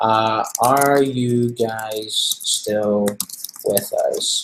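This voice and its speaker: Music plays in the background as a man speaks at a medium pitch. His intonation is monotone and flat. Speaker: online marketing trainer. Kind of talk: live webinar training.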